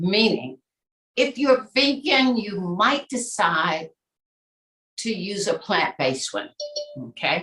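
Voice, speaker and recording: At a very slow pace, a woman with medium pitch and vocal fry speaks with very wide pitch swings. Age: 60s. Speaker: nutritionist. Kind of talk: casual talk on a group call.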